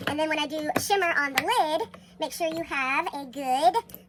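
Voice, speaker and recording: A woman speaks at a high pitch with an American accent. Noticeable background noise runs behind her. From Texas. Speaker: makeup tutorial creator. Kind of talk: tutorial. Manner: casual, chatty.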